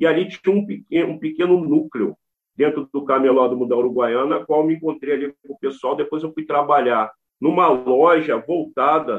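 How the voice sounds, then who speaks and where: A man uses an ordinary speaking voice, pitched fairly high, with lively intonation and a moderate pace. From Brazil, Rio de Janeiro state and Brasília. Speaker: rapper and cultural activist. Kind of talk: interview.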